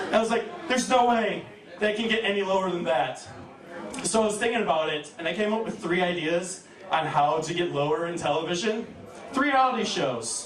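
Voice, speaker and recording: A man with a high pitch and lively intonation talks at a fairly quick pace amid noticeable background noise and audible room echo. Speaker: stand-up comedian. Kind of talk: stand-up. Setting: stage with audience.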